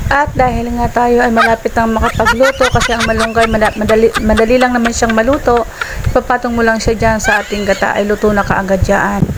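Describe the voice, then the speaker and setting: A soft-spoken woman talks at a very fast pace with a fairly high pitch, fairly even intonation and very even loudness, against noticeable background noise. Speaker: cooking vlogger. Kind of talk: cooking voice-over. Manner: getting quieter.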